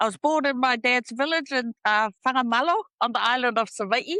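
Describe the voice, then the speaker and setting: A woman talks at a moderate pace with lively intonation and a bright, sharp tone, the sound dry and close with no echo over a quiet background.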